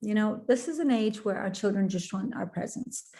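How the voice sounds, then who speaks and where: This woman's voice sits fairly high in pitch, somewhat breathy, with a dark, mellow tone and ordinary pitch variation. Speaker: parenting expert. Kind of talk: webinar talk. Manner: fast.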